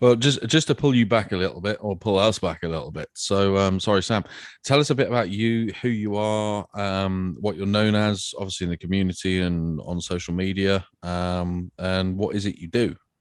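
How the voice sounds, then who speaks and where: A man with a southwest English accent, fairly low-pitched, with ordinary pitch variation, a moderate pace and a quiet background. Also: hardly any pauses. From England, Devon. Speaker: podcast co-host. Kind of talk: casual interview.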